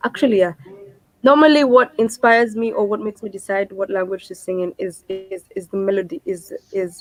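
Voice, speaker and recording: A woman in a Kenyan accent at a medium pitch and fairly quick pace, with ordinary pitch variation, big swings in loudness, and a dry, close sound with no echo. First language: Kikuyu. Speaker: singer-songwriter. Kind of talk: interview.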